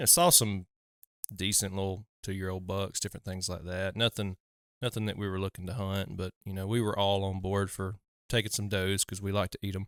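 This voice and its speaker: In a Southern US accent, a man speaks fairly quickly at a fairly low pitch in a flat monotone, recorded dry and close with no echo on a very clean recording with a silent background. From US South. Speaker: hunting podcast host. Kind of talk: casual chat.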